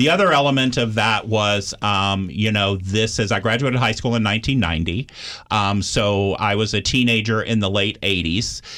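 Recorded very cleanly with a silent background, a man with an unremarkable speaking voice and an American accent speaks at a moderate pace with ordinary pitch variation. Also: fairly low pitch for a man. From Austin, Texas. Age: 40s. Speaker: addiction recovery center staff. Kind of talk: interview. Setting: studio.

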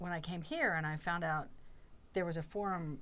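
A woman at a moderate pace with an American accent and an unremarkable speaking voice. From North Carolina, Chapel Hill. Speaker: employee forum chair. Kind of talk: podcast interview.

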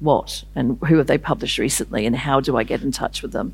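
In a New Zealand accent, a woman talks at a fairly quick pace with lively intonation and vocal fry. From New Zealand, Māori from north of Auckland. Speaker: novelist. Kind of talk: festival interview on stage. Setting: stage with audience.

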